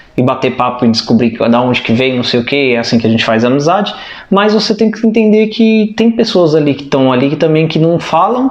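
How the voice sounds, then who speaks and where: Despite noticeable background noise, a man with a fairly high voice talks fairly quickly, his pitch swinging very widely while his loudness stays very even. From Brazil. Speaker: vlogger. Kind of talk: casual chat.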